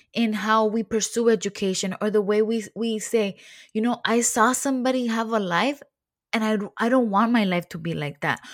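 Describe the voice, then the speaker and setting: With an unremarkable speaking voice, a woman talks at a moderate pace, fairly high in pitch with ordinary pitch variation. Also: very clean recording, silent background. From Mexican-American family (father from Jalisco). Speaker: podcast host. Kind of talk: casual interview, Spanglish. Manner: upbeat.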